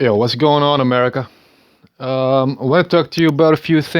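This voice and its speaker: A man talks in a medium pitch. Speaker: vlogger. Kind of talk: casual monologue. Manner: halting, many fillers and repetitions.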